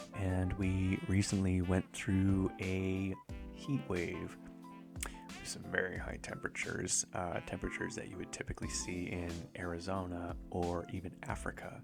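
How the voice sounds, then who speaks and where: Over music in the background, a man with a very deep, low voice talks at a fairly slow pace in a relaxed tone with ordinary pitch variation. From Canada, Vancouver Island. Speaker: artist and content creator. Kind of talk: casual rambling talk to camera. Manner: soft, relaxed, rambling.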